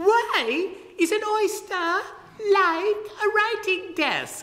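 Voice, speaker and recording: This put-on character voice is squeaky and extremely high-pitched, delivered at a very slow pace. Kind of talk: book reading talk. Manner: high-pitched, playful. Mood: playful, smiling.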